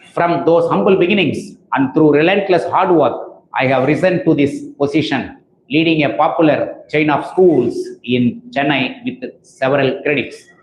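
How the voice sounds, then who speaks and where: In a Tamil accent, a man speaks at a moderate pace with lively intonation. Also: fairly high pitch for a man. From India, Tamil Nadu. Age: 60s. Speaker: school principal. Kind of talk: reading aloud. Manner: formal.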